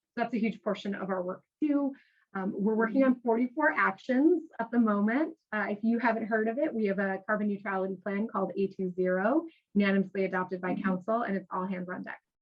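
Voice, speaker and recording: A somewhat breathy woman's voice at a fairly quick pace, with ordinary pitch variation. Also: medium pitch for a woman. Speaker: local government sustainability official. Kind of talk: panel presentation. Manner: fast; animated.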